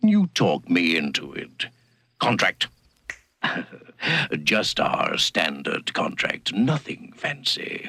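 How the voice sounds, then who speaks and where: A man puts on a character voice at medium pitch. He speaks very slowly, with long, frequent pauses. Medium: audio drama. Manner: smooth, persuasive, oily.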